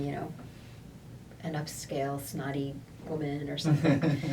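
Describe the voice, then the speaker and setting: Using monotone, flat intonation, a woman with an American accent speaks at a moderate pace in a very deep, low pitch. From United States. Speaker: voice actor. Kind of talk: interview answer.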